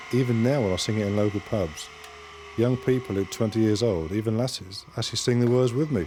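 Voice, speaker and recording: Noticeable background noise surrounds a man talking at a very fast pace. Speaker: game show contestant. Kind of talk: casual chat.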